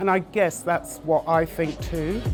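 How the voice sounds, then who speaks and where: With music in the background, a woman talks at a fairly low pitch with ordinary pitch variation. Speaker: magazine publisher and editor. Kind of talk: interview answer. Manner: soft-spoken.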